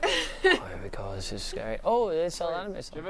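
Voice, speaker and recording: Talking at a very fast pace with big swings in loudness, a man is heard in a dry sound with no echo over noticeable background noise. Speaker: YouTuber on a group pub crawl. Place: shop. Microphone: phone near.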